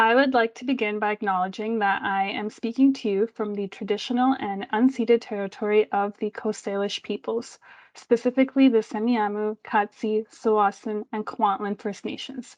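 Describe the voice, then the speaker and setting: A woman speaks with a Canadian accent at a fairly high pitch, her intonation monotone and flat, with hardly any pauses. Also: moderate pace. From Delta/Surrey, British Columbia, Canada. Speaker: event co-host. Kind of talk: formal land acknowledgement.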